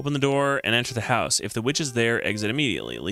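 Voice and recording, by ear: Natural-voiced reading aloud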